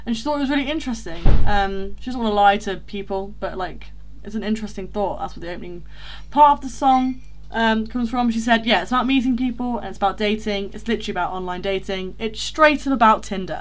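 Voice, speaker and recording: Talking at a very fast pace, a woman speaks in an East Midlands accent. Her pitch is fairly high. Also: ordinary pitch variation. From rural Leicestershire. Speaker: podcast co-host. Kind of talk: casual chat.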